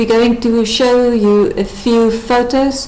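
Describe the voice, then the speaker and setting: Audible room echo and noticeable background noise are present. A woman speaks in a South African accent. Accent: Afrikaans-accented English. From South Africa, rural Northern Cape. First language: Afrikaans. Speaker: wife and mother. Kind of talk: testimony. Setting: webcam presentation.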